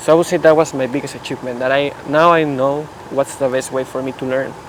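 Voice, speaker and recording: Noticeable background noise sits under a man talking at a very fast pace. His fairly high voice is monotone and flat. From Mexico. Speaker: physics PhD student. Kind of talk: casual chat.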